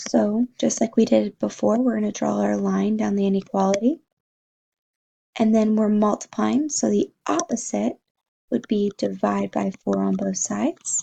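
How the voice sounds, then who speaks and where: A woman at a moderate pace, in a dry, close recording with no echo. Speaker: math teacher. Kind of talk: tutorial.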